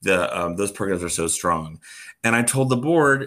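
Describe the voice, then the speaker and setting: A man with a normal speaking voice and an American accent talks at a fairly quick pace with lively intonation on a very clean recording with a silent background. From US, Florida (Orlando). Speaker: theatre artistic director. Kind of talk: casual interview chat.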